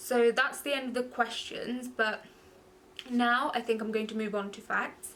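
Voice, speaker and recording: In a London accent, a woman speaks at a high pitch. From London, England (born in Goa, India). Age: 20s. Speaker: beauty vlogger. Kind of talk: casual chat.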